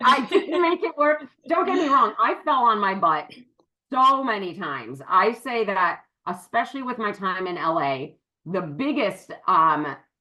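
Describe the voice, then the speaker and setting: A loud woman with an American accent, a fairly high pitch, a bright, sharp, animated tone, very wide pitch swings and a fairly slow pace. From western Massachusetts. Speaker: business partner. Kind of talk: interview. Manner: loud, projecting.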